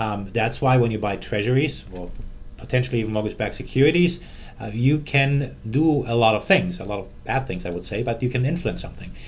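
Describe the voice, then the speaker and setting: Speaking very fast with a German accent, a man at medium pitch uses lively intonation while audible room echo surrounds his voice. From Germany. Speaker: currency fund manager. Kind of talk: interview.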